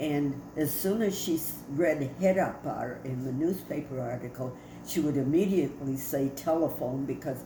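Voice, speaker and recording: Amid noticeable background noise and audible room echo, a woman with an American accent speaks at a fairly slow pace in a very deep, low pitch, with ordinary pitch variation. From Detroit, US Midwest. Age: 90s. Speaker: family storyteller. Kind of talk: oral history interview. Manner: halting.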